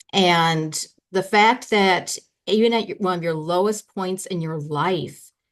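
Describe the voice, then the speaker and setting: A woman with an unremarkable speaking voice and ordinary pitch variation talks at a fairly slow pace. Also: medium pitch for a woman. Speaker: podcast host. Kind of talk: podcast interview.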